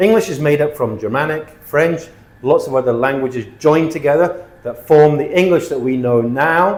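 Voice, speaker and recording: A man speaks with a British accent in a fairly high voice. Noticeable background noise runs beneath him. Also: ordinary pitch variation, moderate pace. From Britain. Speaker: English teacher. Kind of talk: tutorial.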